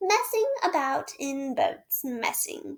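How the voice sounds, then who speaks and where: A woman puts on a character voice, pitched extremely high with very wide swings. She speaks at a very slow pace. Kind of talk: genteel, solemn. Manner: dreamy.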